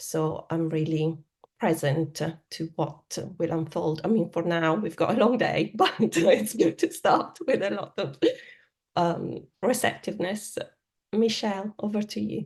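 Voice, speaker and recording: With an Italian accent, a woman speaks at a fairly slow pace in a fairly low, somewhat breathy voice with lively intonation. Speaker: academic researcher. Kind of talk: online event introduction. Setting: video call.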